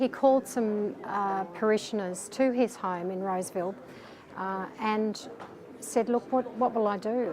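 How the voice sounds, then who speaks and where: A woman with an Australian accent speaks at medium pitch and a moderate pace, her intonation fairly even. Background noise is noticeable. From Melbourne, Australia. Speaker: crisis line volunteer counsellor. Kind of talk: interview. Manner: hesitant with fillers.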